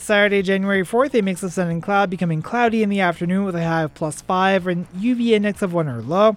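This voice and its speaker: A man's high-pitched, very fast speech with hardly any pauses and ordinary pitch variation. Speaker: community radio host. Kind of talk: casual read-through of a weather forecast on community radio. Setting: radio studio. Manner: informal and stumbling, full of uh fillers and on-air self-corrections; steady listing pace, reeling off temperatures and conditions day by day.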